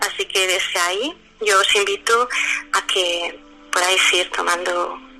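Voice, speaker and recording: Music in the background behind a woman pitched at a medium level. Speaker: lawyer and mindfulness teacher. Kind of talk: guided meditation. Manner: slow.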